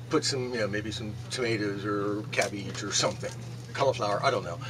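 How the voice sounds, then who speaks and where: A man rushes along at a very fast pace over noticeable background noise. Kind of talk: casual vlog chat. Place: shop. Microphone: camera far.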